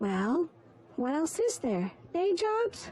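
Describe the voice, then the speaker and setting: In a put-on character voice, a female-sounding speaker talks at an extremely high pitch with very wide pitch swings. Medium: fan dub.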